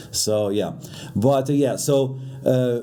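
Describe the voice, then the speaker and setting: A man with a non-native accent speaks very slowly at a fairly high pitch. Room echo is audible. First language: not English. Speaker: YouTuber reacting to drama. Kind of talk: reaction commentary. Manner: halting, many fillers.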